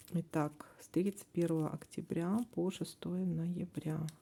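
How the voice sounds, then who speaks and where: A woman speaks at a very slow pace with fairly even intonation. Long, frequent pauses break up her speech. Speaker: tarot reader. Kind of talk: tarot forecast reading. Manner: hesitant, with fillers.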